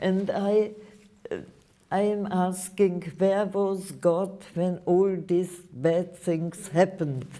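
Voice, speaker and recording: Spoken at a very slow pace in a monotone with flat intonation, the voice comes over noticeable background noise. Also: woman, medium pitch for a woman. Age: 80s+. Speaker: Holocaust survivor speaking to students. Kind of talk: Q&A with school students.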